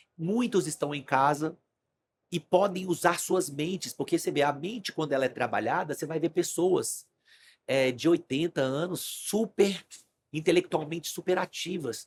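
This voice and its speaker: With a dry, close sound and no echo, a man speaks at a high pitch and a moderate pace, his pitch varying in an ordinary way. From Brazil, Brasília. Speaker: stock market trader, investment firm client. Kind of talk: podcast interview conversation.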